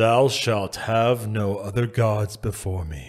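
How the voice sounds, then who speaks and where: A man performs a put-on character voice at a fairly low pitch. He speaks at a fairly slow pace. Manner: solemn, commanding.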